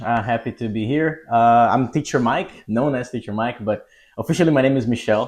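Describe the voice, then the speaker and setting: Against a quiet background, a man with a Portuguese accent talks at a fairly quick pace, medium in pitch with ordinary pitch variation. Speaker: English test prep teacher. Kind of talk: podcast interview.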